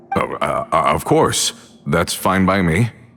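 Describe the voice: A man's put-on character voice, low in pitch with vocal fry, a fairly bright tone, lively intonation and a fairly slow pace.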